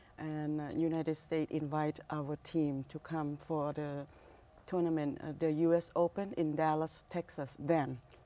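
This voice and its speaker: A woman with a Thai accent speaks at a very deep, low pitch in a flat monotone. Her tone is dark and mellow, and her pace fairly slow. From Thailand, Bangkok. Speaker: restaurant owner. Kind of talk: interview. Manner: halting.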